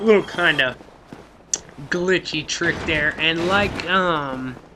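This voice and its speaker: Speaking very slowly with an American accent, a man uses a high pitch and ordinary pitch variation. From Oklahoma City, US. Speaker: gaming youtuber. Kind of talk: let's play commentary. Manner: casual, hesitant with fillers.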